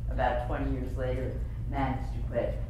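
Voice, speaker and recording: In strong room echo with noticeable background noise, a woman speaks with a very deep, low pitch and monotone, flat intonation. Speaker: advertising executive and author. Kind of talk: luncheon keynote speech. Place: hall. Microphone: camera far.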